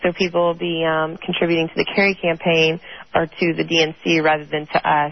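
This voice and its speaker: Her intonation monotone and flat, a woman speaks at a fairly low pitch. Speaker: political activist. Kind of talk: interview. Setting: phone call.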